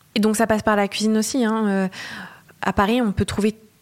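Her pitch is fairly high. The woman speaks at a moderate pace. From Normandy, France (Le Havre). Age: young. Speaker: vegetarian chef. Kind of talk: casual interview. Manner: hesitant, frequent fillers.

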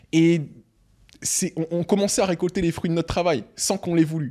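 A very clean recording with a silent background, carrying a man's dark, mellow tone. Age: 20s. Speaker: entrepreneur and investor. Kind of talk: interview.

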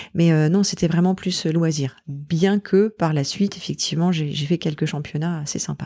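The speaker's dark, mellow tone moves at a moderate pace with hardly any pauses and fairly even intonation. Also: woman, fairly low pitch for a woman. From Normandy, France. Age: 40s. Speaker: mountaineer and entrepreneur. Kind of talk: interview. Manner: halting.

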